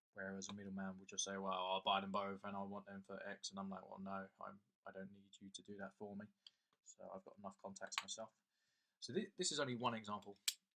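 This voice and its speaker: A man with an English accent speaks very fast in a fairly low pitch, his tone bright and sharp. His intonation stays monotone and flat. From England. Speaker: coin dealer and collector. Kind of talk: casual video talk. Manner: casual, with repeated words.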